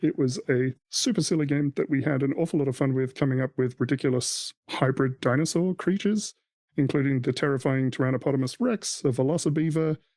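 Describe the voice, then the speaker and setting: A man with an Australian accent talks at a very fast pace with hardly any pauses and very even loudness. His fairly high pitch shows ordinary variation against a quiet background. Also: dry, close sound with no echo. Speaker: podcast host. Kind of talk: casual chat.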